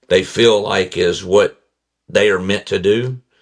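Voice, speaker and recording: Against a quiet background, a man with a Southern accent speaks at a fairly low pitch with ordinary pitch variation. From Kentucky, near Owensboro. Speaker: accident survivor and motivational speaker. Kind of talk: testimony.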